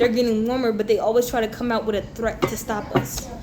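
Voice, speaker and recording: Over noticeable background noise and audible room echo, a woman talks at a very fast pace in a fairly high pitch. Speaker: tarot reader. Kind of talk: tarot reading monologue. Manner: animated.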